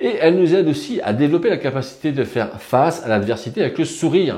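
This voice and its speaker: A man with a dark, mellow tone and fairly high pitch talks at a fairly quick pace, his pitch swinging very widely. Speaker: personal development youtuber. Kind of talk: video monologue on self-improvement. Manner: fast, sometimes tripping over words; casual, many fillers.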